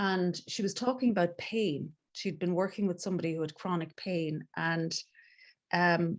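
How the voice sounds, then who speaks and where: A woman with an Irish accent, fairly low in pitch, at a fairly slow pace with fairly even intonation, against a quiet background. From Ireland, Galway. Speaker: transformative coach. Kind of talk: casual interview chat.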